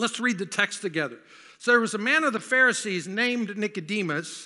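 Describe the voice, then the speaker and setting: A man with an American accent projects a raised voice at a high pitch, with a bright, sharp tone, lively intonation and a fairly quick pace. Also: quiet background. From US South. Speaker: pastor. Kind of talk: sermon. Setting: church.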